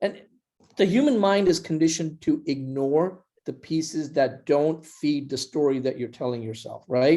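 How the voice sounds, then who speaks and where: With a non-native accent, a man speaks at a moderate pace in a fairly high pitch, with ordinary pitch variation and a dark, mellow tone. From India. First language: not English. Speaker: startup founder. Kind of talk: podcast interview.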